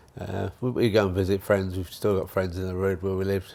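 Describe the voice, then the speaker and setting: The speaker has a southern English accent. The pace is fairly quick. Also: man. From southern England, Hertfordshire. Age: 70s. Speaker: retirement home resident. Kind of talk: casual interview chat.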